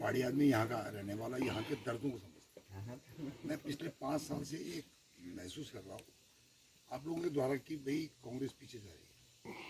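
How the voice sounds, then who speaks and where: A man speaks at a medium pitch with ordinary pitch variation and big swings in loudness. Noticeable background noise runs underneath. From Uttarakhand, India (Dehradun). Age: 60s. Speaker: retired army man speaking at political meeting. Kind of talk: public speech at village meeting.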